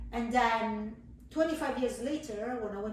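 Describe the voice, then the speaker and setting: At a fairly quick pace, a woman speaks with ordinary pitch variation. Noticeable background noise and audible room echo fill the recording. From southern Italy. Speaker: cheese supplier, business owner. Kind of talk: casual interview.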